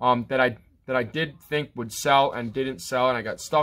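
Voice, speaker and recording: A man talks at a moderate pace with ordinary pitch variation. His tone is bright and sharp. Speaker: online reseller. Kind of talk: casual vlog chat. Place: home room. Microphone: phone near.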